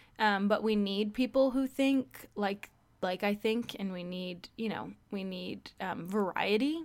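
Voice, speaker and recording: Speaking at a fairly slow pace, a woman keeps her voice at a medium pitch. Her pitch varies in an ordinary way. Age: 20s. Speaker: podcast host. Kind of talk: casual solo chat. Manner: animated.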